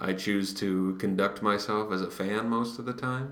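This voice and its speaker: A man's fairly low-pitched voice with lively intonation, amid noticeable background noise. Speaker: baseball podcast co-host. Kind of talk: casual chat. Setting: library study room. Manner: hushed.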